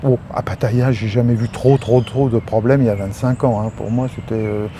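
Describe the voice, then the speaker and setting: Over noticeable background noise, a man talks with monotone, flat intonation. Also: medium pitch for a man, moderate pace. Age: 60s. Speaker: retired expatriate. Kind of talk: interview. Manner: halting.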